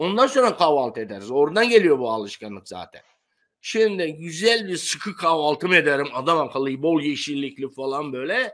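A man with a fairly high pitch talks at a moderate pace against a quiet background, his pitch swinging very widely and his loudness shifting in big swings. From Turkey, Aegean coast (Bodrum); Turkey. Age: 70s. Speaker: retired sponge diver; interview guest. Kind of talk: interview. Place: home room.

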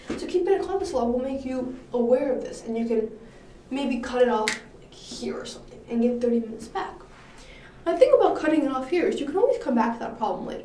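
A high-pitched woman talks at a very fast pace, with lively intonation and big swings in loudness. Audible room echo fills the recording. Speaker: coding contest coach. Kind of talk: lecture. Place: classroom. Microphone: camera far.

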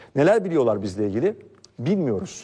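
A man talks at a fairly quick pace in a dark, mellow tone with vocal fry, his fairly high pitch making very wide swings. The recording is very clean, with a silent background. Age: 40s. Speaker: political commentator. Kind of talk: political commentary monologue.

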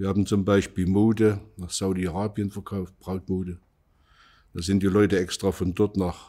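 At a moderate pace, a man speaks with a very deep, low pitch, a dark, mellow tone and monotone, flat intonation against a quiet background. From Saxony, Vogtland (Plauen), former East Germany; Saxony, Germany. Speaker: contemporary witness, former industry manager; witness. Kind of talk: oral history interview. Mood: calm, reflective. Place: studio.

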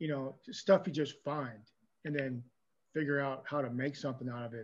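Pitched fairly high for a man, this male voice keeps a fairly even intonation. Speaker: hobby club clinic chair; clinic host. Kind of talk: meeting introduction. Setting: video call. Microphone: video call.

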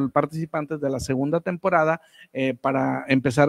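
A man's intonation stays fairly even as he speaks at a moderate pace, with quiet in the background. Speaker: radio announcer. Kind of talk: live online radio show hosting. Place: studio. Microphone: studio mic.

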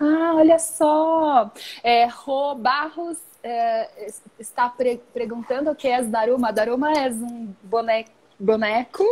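At a very slow pace, a woman with a high pitch and ordinary pitch variation speaks with long, frequent pauses. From Brazil. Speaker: origami live-stream host. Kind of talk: casual live-stream chat. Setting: Instagram live video. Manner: halting, mixing languages. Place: home room. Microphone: earbuds.

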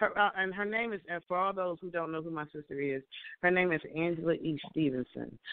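Her pitch fairly low with ordinary variation, a woman talks at a fairly quick pace. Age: 50s. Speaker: online radio show host. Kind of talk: interview chat. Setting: phone call.

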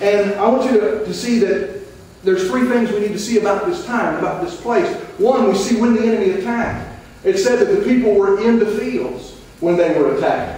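A man talks at a fairly quick pace with a high pitch and lively intonation. Strong room echo surrounds his voice. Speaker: missionary preacher, retired army veteran. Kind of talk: sermon. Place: church.

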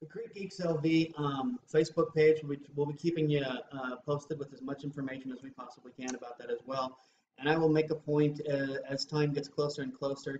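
Speaking at a fairly quick pace with hardly any pauses, a man with a fairly high pitch keeps his intonation fairly even amid audible room echo and light background noise. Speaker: beer reviewer. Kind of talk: casual chat. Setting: on camera, filmed. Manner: rambling, hesitant with fillers. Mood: relaxed, friendly. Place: home room. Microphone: webcam.

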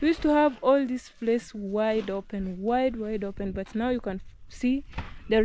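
Against light background noise, a woman with a fairly high pitch talks fairly slowly in a dark, mellow tone, her pitch varying in an ordinary way and the sound dry with no echo. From Kenya. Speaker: vlogger. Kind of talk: casual vlog narration. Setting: outdoors at rural home. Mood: proud, upbeat. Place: open country. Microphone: phone near.

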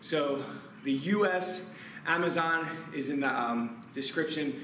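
Noticeable background noise runs beneath speech with ordinary pitch variation. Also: man. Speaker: fitness coach. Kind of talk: workout instruction. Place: gym.

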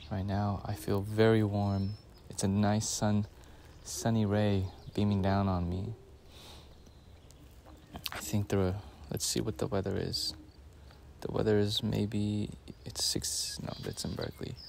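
The speech moves at a fairly slow pace with long, frequent pauses and fairly even intonation. The sound is dry with no echo, and there is light background noise. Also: man, fairly low pitch for a man. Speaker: nature vlogger. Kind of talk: quiet field narration. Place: waterside.

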